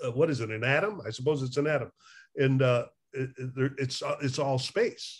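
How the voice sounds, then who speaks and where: Somewhat breathy, a man speaks at a moderate pace with ordinary pitch variation. The background is quiet. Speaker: addiction recovery therapist. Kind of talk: casual conversation. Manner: animated, laughs often. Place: home room. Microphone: webcam.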